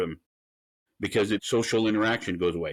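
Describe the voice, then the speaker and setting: On a very clean recording with a silent background, a man speaks at a very fast pace and medium pitch. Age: 60s. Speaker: defense company CEO. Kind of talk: interview. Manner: halting.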